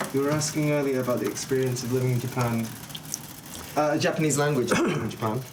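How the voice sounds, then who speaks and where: Amid noticeable background noise and audible room echo, a man talks at a very fast pace in a medium pitch with fairly even intonation and very even loudness. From UK, moved around (Wales, Scotland, Manchester). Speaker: craft apprentice. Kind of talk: casual chat on livestream.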